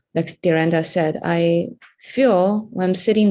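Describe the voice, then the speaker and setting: A woman with a Chinese accent speaks fairly slowly at a medium pitch, her tone dark and mellow and her intonation fairly even, against a quiet background. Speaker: entrepreneur and memoir writer. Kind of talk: group discussion.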